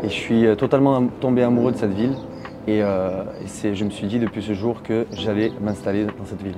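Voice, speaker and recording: Noticeable background noise sits behind a man's voice. He speaks fairly quickly at a fairly low pitch with fairly even intonation. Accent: slight Marseille. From Marseille, southern France. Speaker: expatriate interviewee. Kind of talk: interview. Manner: hesitant, many filler sounds.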